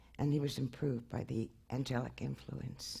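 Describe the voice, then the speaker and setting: Somewhat breathy, a woman with an American accent speaks at a fairly slow pace. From Brooklyn, New York. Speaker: anthropologist and author. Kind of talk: lecture. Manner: halting, many fillers.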